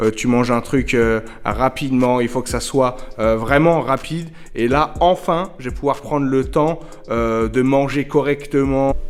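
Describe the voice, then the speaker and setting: A man at medium pitch and moderate pace, with fairly even intonation. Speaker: hairdresser vlogger. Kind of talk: casual vlog. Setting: empty shop premises. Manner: soft-spoken; hesitant with fillers.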